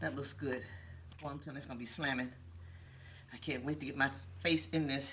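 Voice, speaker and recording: A woman's very deep, low pitch with vocal fry and a bright, sharp tone, lively intonation, a very fast pace, long, frequent pauses, and audible room echo. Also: big swings in loudness. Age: 60s. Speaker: cooking show host. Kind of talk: cooking tutorial.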